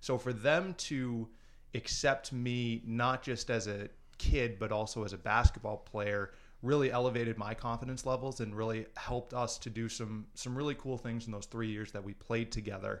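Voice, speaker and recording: A man with an American accent speaks at a moderate pace. His voice is medium-pitched and an unremarkable speaking voice. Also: fairly even intonation. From Minnesota. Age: 20s. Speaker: former youth center participant. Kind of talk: casual interview.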